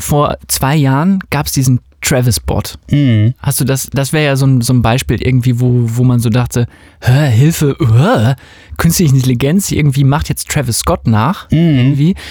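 This man has a medium pitch and a dark, mellow, somewhat breathy tone. He speaks at a moderate pace with very even loudness. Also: ordinary pitch variation. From West Germany. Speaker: music podcast host and dance music producer. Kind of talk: casual chat.

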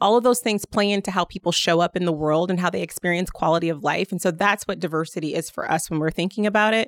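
A woman with a Midwestern American accent speaks at a very fast pace and medium pitch. Her intonation is fairly even, and the recording is very clean with a silent background, dry and close with no echo. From Indiana, South Bend. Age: 40s. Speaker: state government official. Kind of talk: interview.

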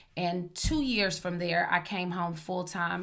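A woman speaks with an American accent at a medium pitch, her tone bright and sharp. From Oklahoma. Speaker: podcast host. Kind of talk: casual chat.

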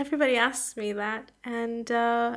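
A woman with an unremarkable speaking voice talks at a fairly slow pace in a fairly high pitch, with fairly even intonation, on a very clean recording with a silent background. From Canada, Toronto area. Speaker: aerospace engineering researcher. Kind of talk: interview.

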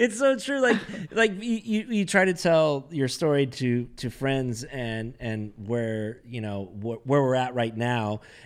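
Speaking at a fairly slow pace with hardly any pauses, a man uses a medium pitch and lively intonation. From Southern California (Carlsbad, San Diego county). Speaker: podcast co-host. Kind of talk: casual chat.

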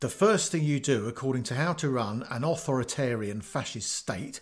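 Over a silent background in a very clean recording, a man with an English accent speaks at a moderate pace. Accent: obvious English. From England. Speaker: podcast host, retired teacher. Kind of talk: scripted narration.

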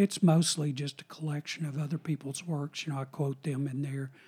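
A man with a fairly high pitch and a dark, mellow tone sounds somewhat breathy, with fairly even intonation. The sound is dry and close with no echo, on a very clean recording with a silent background. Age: 60s. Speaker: retired professor of philosophy and religion. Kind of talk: casual interview chat.

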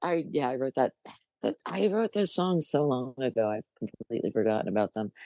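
Gravelly and with very wide pitch swings, a voice in an American accent comes through dry and close with no echo against a quiet background. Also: woman. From New Jersey, US. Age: 60s. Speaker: musician and bass player.

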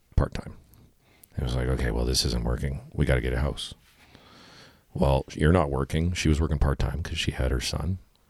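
With a Canadian Prairies accent and a very deep, low pitch, a man speaks at a moderate pace broken by long, frequent pauses. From Manitoba, Canada (Winnipeg). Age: 30s. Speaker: outdoor shop owner and band frontman. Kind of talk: casual interview chat. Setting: in-person in a home basement.

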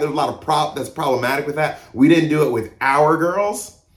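Over noticeable background noise, a man with an American accent and a fairly high pitch speaks at a moderate pace. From US South (Mississippi and Georgia). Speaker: pastor. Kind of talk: sermon.

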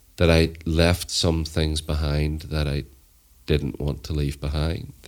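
Very deep and low, a man's voice with a Northern Irish accent stays monotone and flat. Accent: Northern Irish (Belfast). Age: 40s. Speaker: storyteller and violence reduction activist. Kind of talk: casual chat.

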